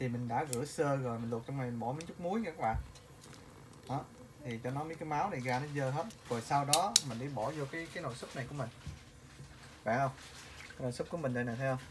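Fairly quick speech over light background noise. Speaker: home cook vlogger. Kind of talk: casual cooking tutorial. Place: kitchen. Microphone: phone near.

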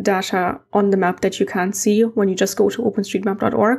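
A woman speaks with a German accent. Her pace is moderate. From East Germany. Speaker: amateur heritage mapper and video creator; conference presenter. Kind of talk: conference presentation. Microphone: webcam.

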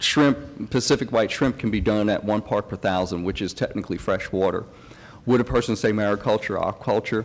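A man with an American accent speaks in an ordinary speaking voice, fairly low in pitch, with fairly even intonation at a fairly quick pace. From outside Texas, other US state. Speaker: aquaculture researcher; presenter, panelist. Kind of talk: conference presentation; conference Q&A answer. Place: hall. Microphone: podium.

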